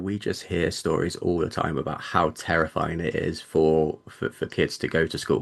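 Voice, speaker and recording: Over a quiet background, a man with a British accent talks at a moderate pace. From Britain. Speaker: debut novelist. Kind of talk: interview. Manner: halting, many repeated words.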